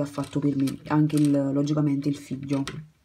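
A woman's very deep, low voice with a dark, mellow tone on a very clean recording with a silent background. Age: 20s. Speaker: crochet YouTuber. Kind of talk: casual vlog monologue. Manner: halting, many fillers and restarts.

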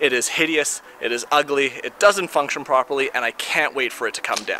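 A man speaks at a moderate pace. There is light background noise and a dry sound with no echo. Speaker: home renovation vlogger. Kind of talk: casual vlog chat. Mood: wry, mildly annoyed. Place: garden. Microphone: phone near.

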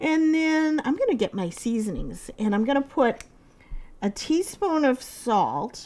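A very slow-paced female voice. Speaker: home cooking show host. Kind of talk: tutorial. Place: kitchen.

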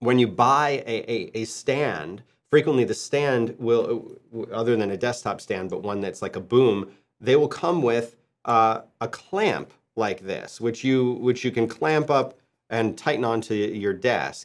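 A man speaking at a fairly slow pace, ordinary pitch variation, over a quiet background. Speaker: podcast presenter. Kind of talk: tutorial. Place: studio.

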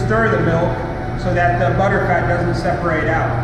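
A man is speaking. There is audible room echo and loud background noise. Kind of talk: tour guide explanation. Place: factory.

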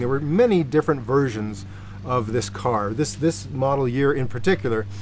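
A man talks at a moderate pace with light background noise. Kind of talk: casual explanatory talk to camera. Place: street.

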